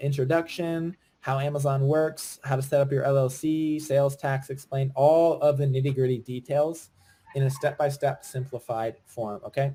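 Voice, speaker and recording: A man speaks with an American accent at a fairly high pitch. His voice is somewhat breathy. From Virginia, US. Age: 20s. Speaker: online business coach. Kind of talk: webinar sales pitch. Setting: live webinar. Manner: fast; animated.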